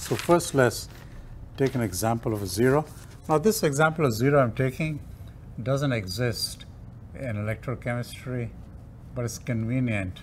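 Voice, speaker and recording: Somewhat breathy, a man speaks at a moderate pace with ordinary pitch variation and long, frequent pauses over light background noise. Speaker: lecturer. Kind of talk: lecture. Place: classroom.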